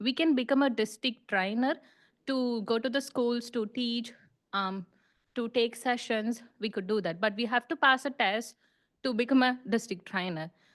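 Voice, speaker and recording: A woman talks at a moderate pace with a high pitch and ordinary pitch variation. Behind her, the background stays quiet. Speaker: international student, club member. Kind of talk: presentation to a club. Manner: halting, many fillers.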